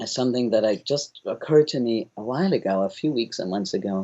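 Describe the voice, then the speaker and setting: With a German accent, a man races along at a very fast pace, his medium-pitched voice making very wide pitch swings. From Germany. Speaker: founder of a governance organization. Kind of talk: interview.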